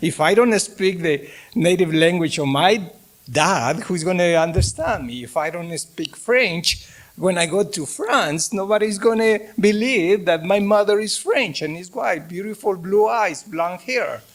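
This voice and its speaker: Talking at a fairly slow pace, a man with a Mexican accent uses a high pitch and ordinary pitch variation. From Mexico. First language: Spanish. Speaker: professor. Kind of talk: lecture. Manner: halting.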